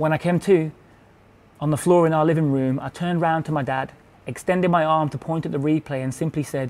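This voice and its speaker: In a Birmingham accent, a man with a fairly high voice talks at a fairly quick pace with fairly even intonation. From Birmingham, England. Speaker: performance poet. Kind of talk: spoken word poetry performance.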